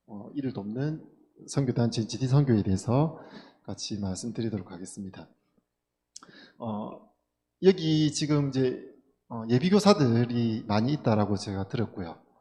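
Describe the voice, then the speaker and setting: A man with a Gyeongsang accent speaks at a medium pitch and moderate pace, his tone dark, mellow and somewhat breathy. His intonation is lively, with big swings in loudness and long, frequent pauses. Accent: Gyeongsang dialect, some. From South Gyeongsang, Korea (Tongyeong). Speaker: schoolteacher. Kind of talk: seminar talk. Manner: many fillers, conversational.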